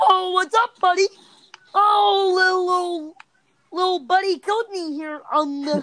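A put-on character voice at an extremely high pitch goes along at a fairly slow pace. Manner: friendly, chatty.

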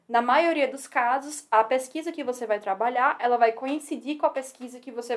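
Speaking at a fairly quick pace, a woman with a strong northeastern Brazilian accent uses a high pitch and ordinary pitch variation. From Northeast Brazil, Natal. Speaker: civil engineering PhD student. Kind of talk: casual interview chat. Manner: fast.

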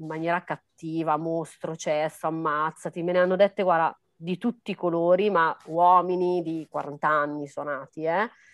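At a moderate pace, an ordinary speaking voice comes through dry and close with no echo over a quiet background. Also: woman. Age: 30s. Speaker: dancer, model and life coach. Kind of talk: interview.

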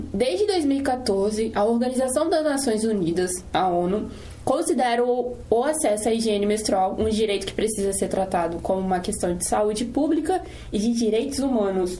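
Over noticeable background noise and audible room echo, a woman with a fairly high pitch speaks with lively intonation at very even loudness. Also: moderate pace. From Brazil, Espírito Santo (Serra). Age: 20s. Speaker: student podcast host. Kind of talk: casual chat with scripted reading.

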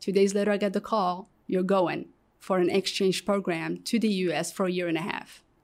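In an Arabic accent, a woman of medium pitch speaks at a fairly quick pace. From Morocco. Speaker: guest sharing life story. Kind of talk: testimony. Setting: studio. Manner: halting, many repetitions.

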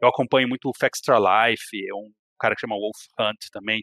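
A man talks at a fairly quick pace in a normal speaking voice, with fairly even intonation. The sound is dry and close with no echo, in a very clean recording with a silent background. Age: 30s. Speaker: video game enthusiast and RPG specialist. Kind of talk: casual chat.

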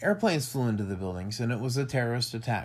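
This man has an American accent and a somewhat breathy voice with lively intonation. The recording is very clean, with a silent background. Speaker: podcast host. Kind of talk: casual chat.

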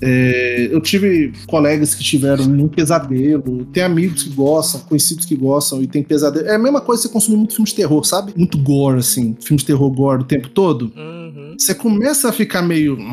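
Music plays in the background as a man speaks at a fairly quick pace with hardly any pauses, his fairly high voice full of lively intonation. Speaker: psychologist. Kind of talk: casual chat.

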